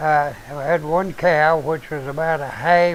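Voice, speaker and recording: A man with an Appalachian accent speaks at a very slow pace. His pitch is fairly high, and his intonation is fairly even. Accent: Appalachian Southern US. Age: 70s. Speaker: show host, preacher. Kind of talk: casual chat. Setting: live stream.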